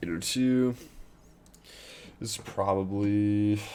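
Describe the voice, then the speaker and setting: A man's fairly low, dark, mellow voice at a very slow pace, with audible room echo. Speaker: day trader streaming live. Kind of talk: live trading commentary. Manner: halting.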